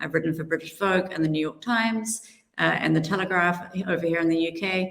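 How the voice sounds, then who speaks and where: A woman with a strong New Zealand accent speaks in a fairly low pitch. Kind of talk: panel moderation.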